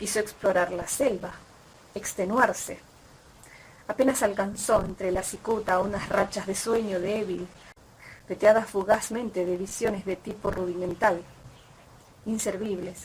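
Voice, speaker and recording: With an Argentine accent, a woman speaks at medium pitch and a fairly slow pace. Her intonation is monotone and flat, with long, frequent pauses. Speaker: audiobook reader. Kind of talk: short story reading. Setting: outdoors.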